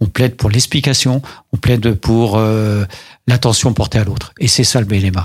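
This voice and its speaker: This man's somewhat breathy voice sits at a medium pitch, with fairly even intonation and a fairly slow pace, in a very clean recording with a silent background. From Paris. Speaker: mayor. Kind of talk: radio interview.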